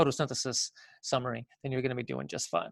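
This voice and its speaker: Against a quiet background, a man with a fairly high voice uses lively intonation, the sound dry and close with no echo. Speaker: biology teacher. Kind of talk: lecture. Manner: fast; filler-heavy with self-corrections.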